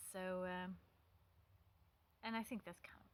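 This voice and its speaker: A medium-pitched woman with a non-native accent. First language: not English. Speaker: pagan vlogger. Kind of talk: casual talk to camera. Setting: outdoors by a stone wall. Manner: hesitant, many fillers.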